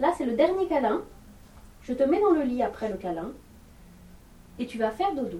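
Over noticeable background noise, a woman with a high voice talks at a moderate pace with very wide pitch swings and long, frequent pauses. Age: 30s. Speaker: mother keeping an audio diary. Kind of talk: home recording, talking to toddler and partner.

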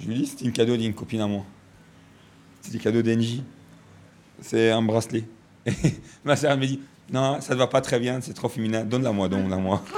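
A man with an Arabic accent at medium pitch and moderate pace, with fairly even intonation and long, frequent pauses. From Egypt. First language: Arabic (speaking French). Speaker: radio columnist. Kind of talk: casual chat. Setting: at his family home.

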